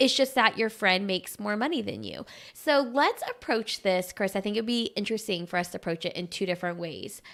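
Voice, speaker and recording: Fairly quick, with hardly any pauses and lively intonation, the speaker talks in an American accent in a very clean recording over a silent background. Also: woman, medium pitch for a woman. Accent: Southern US, comes out at times. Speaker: podcast co-host. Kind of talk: casual chat. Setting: live stream.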